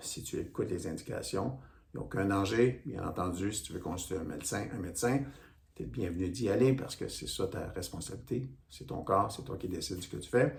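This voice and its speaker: The intonation is lively and the pace fairly quick. Room echo is audible. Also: man. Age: 60s. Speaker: stretching instructor. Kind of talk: tutorial. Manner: casual, conversational.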